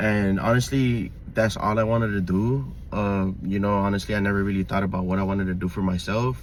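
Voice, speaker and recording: Talking at a fairly quick pace with hardly any pauses, a man with a fairly low voice and an American accent keeps his loudness very even, his pitch varying in an ordinary way amid audible room echo. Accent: Mexican American Los Angeles English. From Los Angeles, US. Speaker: vlogger. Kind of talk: personal monologue. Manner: halting, many fillers.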